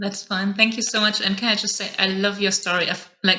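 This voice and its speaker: With a German accent, a woman speaks at medium pitch in monotone, flat intonation. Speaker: podcast host. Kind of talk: interview.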